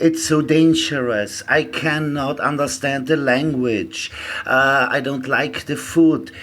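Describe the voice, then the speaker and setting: A man's fairly high voice in a German accent, with a fairly slow pace, ordinary pitch variation and noticeable background noise. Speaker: traveller. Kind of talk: casual chat. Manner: halting.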